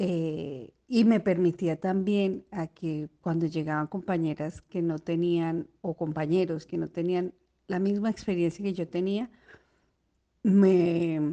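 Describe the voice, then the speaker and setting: A woman with an unremarkable speaking voice, a fairly low pitch, and fairly even intonation. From Colombia, Bogotá. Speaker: surgical instrument technician. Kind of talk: recorded personal testimony.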